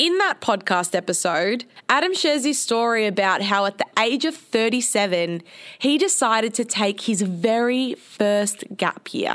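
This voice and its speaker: A woman with an Australian accent speaks in a fairly high, animated voice with lively intonation. Her loudness stays very even, and the recording is very clean with a silent background. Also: fairly slow pace. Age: 20s. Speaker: podcast host. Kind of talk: casual solo monologue.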